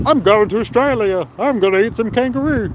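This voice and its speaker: A man's put-on character voice, high-pitched and excited in tone, at a fairly quick pace over clear background noise. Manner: eager, excited, stereotypical.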